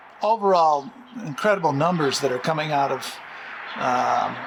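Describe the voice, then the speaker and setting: Noticeable background noise runs through the clip. The man's pitch varies in an ordinary way. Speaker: street interviewer. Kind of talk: interview questions.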